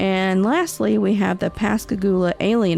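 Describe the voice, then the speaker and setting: A woman with a Southern US accent at a moderate pace, music in the background. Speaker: podcast host of Southern folklore and cryptids. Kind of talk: podcast narration. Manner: casual, folksy.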